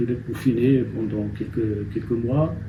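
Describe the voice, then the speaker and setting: Noticeable background noise and audible room echo are present. A man at a medium pitch talks at a fairly slow pace. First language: Amazigh (Berber) (speaking French). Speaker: novelist. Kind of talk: interview. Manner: halting.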